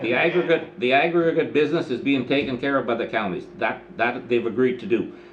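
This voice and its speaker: A man speaks at medium pitch with ordinary pitch variation. Audible room echo and noticeable background noise surround him. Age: 70s. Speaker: mayor chairing council meeting. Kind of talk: council meeting discussion. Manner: halting, repetitive.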